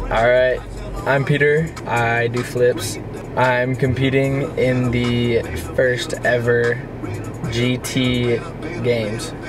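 Music plays in the background while a man speaks at a very slow pace with long, frequent pauses. His intonation is monotone and flat, and the sound is dry with no echo. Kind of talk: casual vlog chat. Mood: playful, joking. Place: car. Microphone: phone near.

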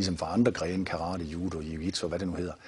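Very fast and somewhat breathy, a man talks with a very deep, low pitch and monotone, flat intonation. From Denmark, Viborg; Denmark. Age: 50s. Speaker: martial arts founder and author; martial arts teacher. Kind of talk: TV interview. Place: studio.

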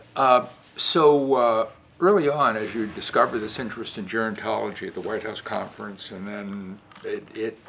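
With ordinary pitch variation, the speech unfolds at a moderate pace amid noticeable background noise. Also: man. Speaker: interviewer, former dean of social work school. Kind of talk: oral history interview questions. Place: meeting room.

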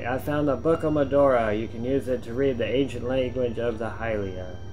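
With clear music in the background, a man puts on a strained character voice at a medium pitch and a fairly quick pace. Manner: strained, put-on voice.

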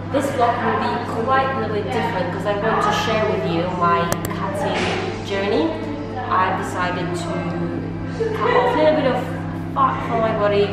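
Clear music plays behind a woman speaking at a moderate pace. Audible room echo surrounds her voice. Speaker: fitness vlogger. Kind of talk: casual vlog chat, workout tutorial.

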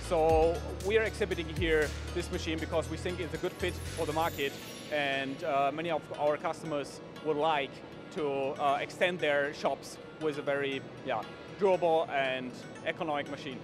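Clear music plays in the background as the voice moves at a moderate pace with ordinary pitch variation and long, frequent pauses, the sound dry with no echo. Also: man. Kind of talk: interview answer. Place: hall. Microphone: handheld.

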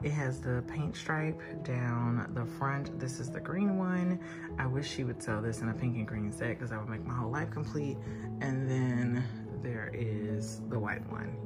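Loud music plays in the background while a woman speaks at a moderate pace. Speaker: wine vlogger. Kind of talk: casual vlog chat. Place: home room. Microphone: phone near.

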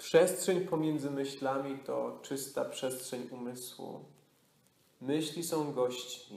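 Noticeable background noise sits behind a man with a Polish accent and a fairly high voice. He talks at a very slow pace with fairly even intonation and a calm, soothing tone. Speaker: yoga nidra teacher. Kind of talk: guided meditation. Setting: retreat studio with a live group. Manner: slow, calm, soothing, with long pauses; soft-spoken, hypnotic, repetitive.

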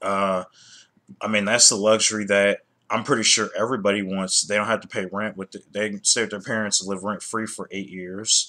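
At a fairly quick pace, a man with a fairly low pitch talks with monotone, flat intonation. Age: 30s. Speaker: YouTuber; vlogger. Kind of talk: casual commentary vlog; casual opinion vlog commentary. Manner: halting, many fillers and repetitions. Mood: annoyed, critical. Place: home room. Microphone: webcam.

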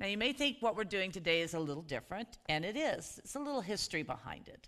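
The woman's tone is bright and sharp. She speaks at a fairly quick pace against a quiet background. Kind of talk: worship welcome and introduction. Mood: warm, festive. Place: church.

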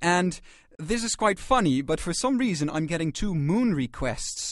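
With very wide pitch swings, a man speaks at a moderate pace in a dry sound with no echo. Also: quiet background. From Netherlands. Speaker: radio presenter. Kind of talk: late-night jazz radio presenting. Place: studio.

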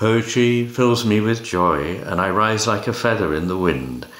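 Noticeable background noise sits under this man's voice. He speaks at a fairly slow pace with lively intonation. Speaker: poetry reader. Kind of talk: poem reading aloud. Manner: measured, expressive.

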